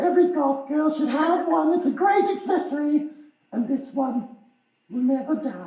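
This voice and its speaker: A loud, high-pitched cartoonish character voice moves at a moderate pace with slight echo. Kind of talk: puppet show interview host. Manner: excitable, loud.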